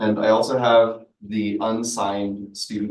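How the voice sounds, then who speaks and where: In a room with audible echo, a man with a fairly low pitch speaks in a flat monotone. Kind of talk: public comment at committee meeting.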